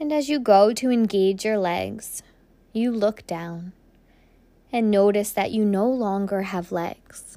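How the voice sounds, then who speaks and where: Very slowly, a woman of medium pitch speaks in a dark, mellow, soothing tone with ordinary pitch variation, on a very clean recording with a silent background. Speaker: podcast host and meditation guide. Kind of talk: guided meditation, second-person visualization journey. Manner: slow, soothing, gently paced with breath cues; soft-spoken, dreamy imagery-laden narration.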